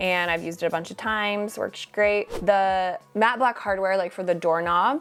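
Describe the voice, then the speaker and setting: Noticeable background noise surrounds a woman talking at a fairly quick pace. Her pitch is medium, with ordinary variation. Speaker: interior design vlogger. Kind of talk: product roundup vlog. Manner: fast; animated.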